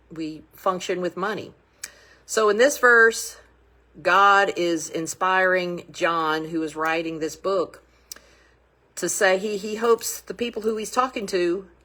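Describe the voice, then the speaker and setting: A woman's fairly low, bright and sharp voice at a very slow pace, with ordinary pitch variation. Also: long, frequent pauses. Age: 60s. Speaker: budgeting coach. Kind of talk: casual talk on faith and money. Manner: halting, with many fillers.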